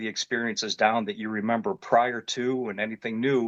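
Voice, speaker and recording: The sound is dry and close with no echo as a man of medium pitch talks at a moderate pace with ordinary pitch variation. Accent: Ohio. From Northeast Ohio (Independence, near Cleveland). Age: 50s. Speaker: construction worker and military veteran, witness. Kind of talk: testimony. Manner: casual, with many fillers.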